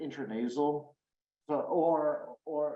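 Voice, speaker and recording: A man's dark, mellow tone with audible room echo. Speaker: addiction researcher, professor. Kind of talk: lecture.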